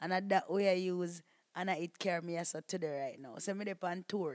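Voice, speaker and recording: A woman with a Jamaican accent speaks at medium pitch with fairly even intonation. The sound is dry and close, with no echo. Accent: Jamaican patois. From Jamaica, Portland. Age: young. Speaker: video blogger. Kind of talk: interview. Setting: studio.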